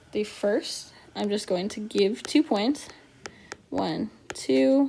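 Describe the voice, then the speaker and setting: A woman with a fairly high voice talks over noticeable background noise. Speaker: math teacher. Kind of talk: tutorial.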